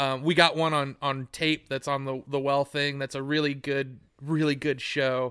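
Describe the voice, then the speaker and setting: Bright, sharp tone from a man with an American accent, fairly high-pitched, monotone and flat, with hardly any pauses. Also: moderate pace, very clean recording, silent background. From United States. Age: 40s. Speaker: podcast host and band musician. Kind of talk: casual chat. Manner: halting, many restarts.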